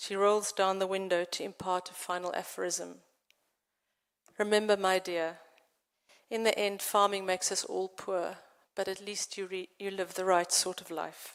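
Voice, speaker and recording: In a South African accent, a woman speaks at a moderate pace and medium pitch with monotone, flat intonation, on a very clean recording with a silent background. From South Africa, central farmland. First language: Afrikaans. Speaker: poet and novelist. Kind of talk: poetry reading.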